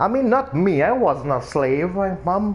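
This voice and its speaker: A man talks in a Trinidadian accent. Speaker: video game streamer. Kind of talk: casual chat.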